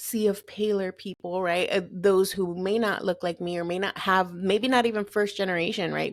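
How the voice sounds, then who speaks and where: A woman talks at a fairly quick pace with hardly any pauses, her pitch medium and her intonation fairly even. The recording is very clean, with a silent background. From Southern California, Lynwood (Los Angeles area). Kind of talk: podcast interview.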